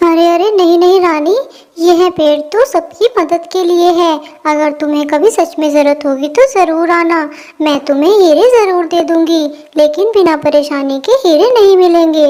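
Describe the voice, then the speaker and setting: A female-sounding voice performs a cartoonish character voice at an extremely high pitch. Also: moderate pace. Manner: gentle, kind.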